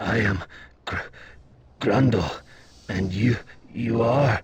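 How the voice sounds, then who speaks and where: A man puts on a raspy character voice at medium pitch. He speaks at a very slow pace with fairly even intonation. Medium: video game. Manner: heavy stutter, halting, repeats syllables.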